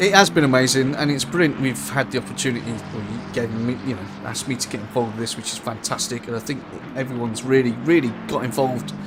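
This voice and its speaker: Music plays behind a man talking very fast at a medium pitch, with ordinary pitch variation and audible room echo. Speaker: sim racing commentator. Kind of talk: live commentary. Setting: live stream.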